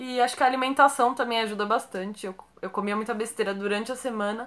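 Speaking at a fairly quick pace, a woman uses a high-pitched voice. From Brazil, São Paulo (Santo André, ABC); São Paulo, Brazil. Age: 20s. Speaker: YouTuber. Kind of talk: casual Q&A vlog. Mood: relaxed, friendly. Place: home room.

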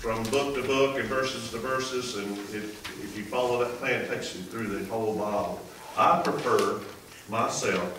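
A man speaks amid noticeable background noise. Audible room echo is present too. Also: ordinary pitch variation, moderate pace. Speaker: associate pastor. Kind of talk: sermon. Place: church.

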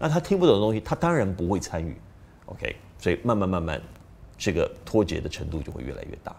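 Very fast pace with big swings in loudness. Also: man. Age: middle-aged. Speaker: parenting video host. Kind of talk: casual talk to camera. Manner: hesitant with fillers. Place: studio.

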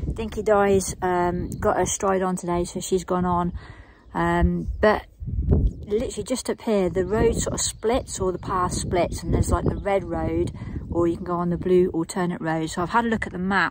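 With noticeable background noise, a woman speaks at a moderate pace in a dry sound with no echo. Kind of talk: casual vlog chat. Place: open country. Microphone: phone near.

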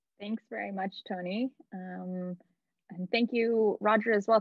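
A woman speaks at a moderate pace, her pitch in the medium range. The sound is dry with no echo, over a quiet background. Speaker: nonprofit events coordinator; meeting host. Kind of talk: online event hosting. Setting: video call. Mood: warm, friendly. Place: home room. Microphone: video call.

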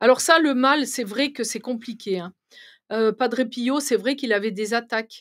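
A woman with a high pitch talks at a fairly slow pace with ordinary pitch variation. The background is quiet. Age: 60s. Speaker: medium; guest. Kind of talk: interview. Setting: live stream studio. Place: studio. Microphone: studio mic.

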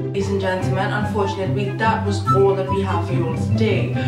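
A woman speaks with loud music in the background and audible echo in the room. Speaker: comedy vlogger. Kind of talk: casual vlog chat. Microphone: phone near.

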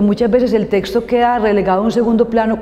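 A woman talking at a fairly quick pace. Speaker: guest teacher. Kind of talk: interview answer.

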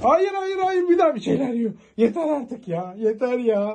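Her pitch sits fairly high and swings widely as this woman speaks.

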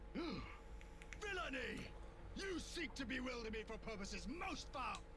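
Over loud background noise, a man puts on a character voice at an extremely high pitch, going at a fairly slow pace. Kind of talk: archaic, theatrical. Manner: indignant, accusatory, melodramatic.

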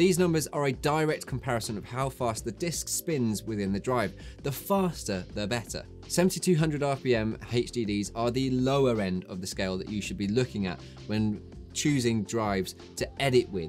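The man keeps a moderate pace while faint music sounds in the background. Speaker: tech video host. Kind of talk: tutorial. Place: studio.

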